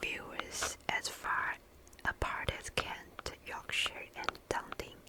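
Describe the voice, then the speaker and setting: Over noticeable background noise, a voice whispers. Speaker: ASMR creator. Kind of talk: sleep story reading. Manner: whispered; soft-spoken.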